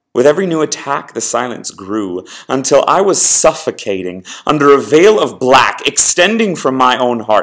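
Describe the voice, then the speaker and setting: A man's voice swings very widely in pitch, with noticeable background noise behind it. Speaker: spoken word poet. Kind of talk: spoken word poetry.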